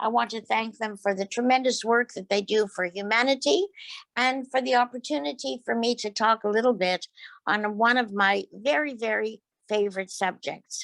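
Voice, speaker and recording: The sound is dry and close, with no echo. The speaker has a Quebec accent, a moderate pace and ordinary pitch variation. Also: woman, fairly high pitch for a woman. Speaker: behavioral scientist and mediumship presenter. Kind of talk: lecture.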